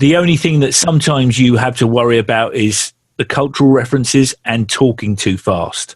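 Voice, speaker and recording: A man with a South London accent talks at a fairly quick pace and medium pitch, with hardly any pauses. His voice is somewhat breathy, with very even loudness and ordinary pitch variation. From South London, England. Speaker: musician. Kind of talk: casual chat.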